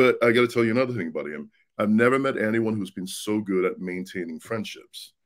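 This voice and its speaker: Speaking very fast, a man with a Swedish accent talks at a medium pitch. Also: ordinary pitch variation. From Sweden. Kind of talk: casual interview.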